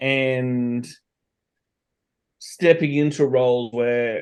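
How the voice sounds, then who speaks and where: In an Australian accent, a man speaks at medium pitch with a dark, mellow tone and fairly even intonation. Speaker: entrepreneur and consultant. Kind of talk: podcast interview.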